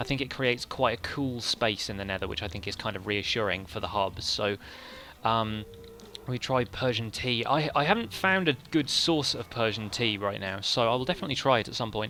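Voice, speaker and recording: At a fairly quick pace, a man speaks in a medium pitch with an English accent. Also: ordinary pitch variation. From England. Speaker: gaming streamer. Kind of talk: live stream commentary. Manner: fast.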